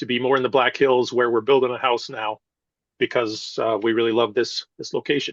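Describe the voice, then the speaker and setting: In an American accent, a man speaks fairly quickly at medium pitch in a flat monotone, recorded dry and close with no echo. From US Midwest, rural northern Iowa. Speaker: political candidate, retired military lawyer. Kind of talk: interview. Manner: hesitant, many fillers.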